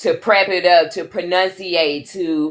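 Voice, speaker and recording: The speaker drawls in a Southern US accent. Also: woman. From American South. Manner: drawn-out, drawling delivery.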